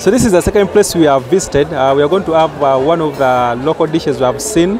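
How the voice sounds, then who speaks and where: Crowd noise fills the background as a man speaks with ordinary pitch variation, the sound dry with no echo. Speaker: food vlogger. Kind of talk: casual vlog chat. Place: market. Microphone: phone near.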